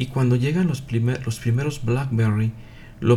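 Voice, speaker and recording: With a dark, mellow tone, a man speaks at a medium pitch, somewhat breathy, with fairly even intonation. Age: 50s. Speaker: Messianic religious teacher, physician. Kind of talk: live religious broadcast talk. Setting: live online broadcast. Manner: hesitant, many filler 'eh'.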